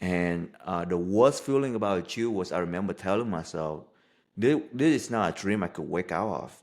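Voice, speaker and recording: He has a Vietnamese accent and a fairly low-pitched voice. The man speaks at a moderate pace with lively intonation. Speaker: life coach. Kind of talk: podcast interview.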